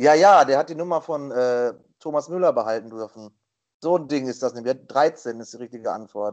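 A man with a normal speaking voice talks at a moderate pace with ordinary pitch variation and big swings in loudness. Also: medium pitch for a man. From western Germany. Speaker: quiz contestant, streamer. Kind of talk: casual quiz show chat. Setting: Skype call.

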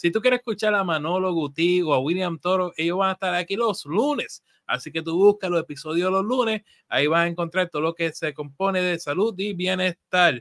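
A man with a high pitch and ordinary pitch variation talks at a fairly quick pace. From Puerto Rico. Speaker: financial advisor and show host. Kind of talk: live show, casual chat. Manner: animated.

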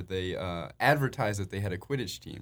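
On a very clean recording with a silent background, a man with an American accent talks in a normal speaking voice at a fairly low pitch and fairly quick pace, with ordinary pitch variation. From Chicago area. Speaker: college club quidditch player. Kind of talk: casual interview chat.

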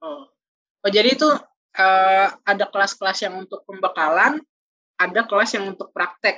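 A woman's medium-pitched voice, bright and sharp in tone, at a moderate pace with ordinary pitch variation and big swings in loudness. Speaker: podcast host, university student. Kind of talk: casual chat.

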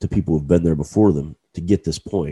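A man speaks with a dark, mellow tone. The sound is dry and close, with no echo. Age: 40s. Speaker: podcast host. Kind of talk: solo motivational monologue. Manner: casual, with frequent fillers and repetitions.

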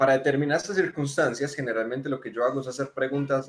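In an unremarkable speaking voice, a man with medium pitch talks at a fairly quick pace. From Colombia, Manizales. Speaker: software developer and tech community speaker. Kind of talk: casual tech discussion. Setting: video call.

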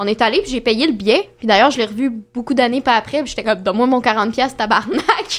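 A woman talks at a very fast pace in a high pitch. Her pitch variation is ordinary. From Quebec. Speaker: dating show contestant. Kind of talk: casual chat.

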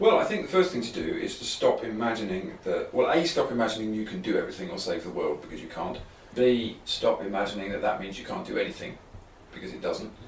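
Speaking in a southern English accent, a man talks at a very fast pace. His loudness swings widely, and there is noticeable background noise. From southeast England (London and Kent). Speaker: writer. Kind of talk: interview conversation. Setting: writing cabin.

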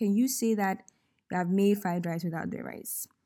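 A woman with a Ghanaian accent uses a playful tone and a dark, mellow sound at medium pitch with ordinary pitch variation. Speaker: podcast host. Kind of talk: storytelling monologue with devotional reflection. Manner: playful, laughing.

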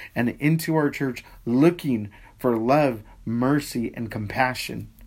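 A man's medium-pitched voice at a fairly slow pace, a plain, everyday voice with ordinary pitch variation. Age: 40s. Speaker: pastor. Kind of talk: casual chat about faith. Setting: Facebook Live stream.

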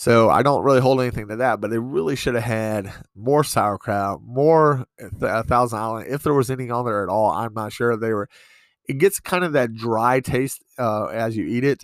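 On a very clean recording with a silent background, a man at medium pitch speaks at a moderate pace with ordinary pitch variation. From US East Coast. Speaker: podcast host. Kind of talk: casual monologue. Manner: halting, many fillers.

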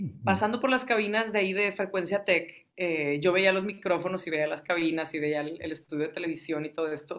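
A woman with a plain, everyday voice talks at a fairly quick pace with hardly any pauses, a fairly low pitch and ordinary pitch variation. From Tamaulipas, Mexico. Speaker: radio host and music lover. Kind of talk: casual interview chat.

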